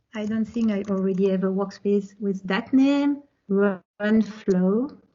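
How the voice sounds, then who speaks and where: A woman with a French accent, at medium pitch and a fairly slow pace, with fairly even intonation. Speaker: tech presenter. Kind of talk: technical presentation with live demo.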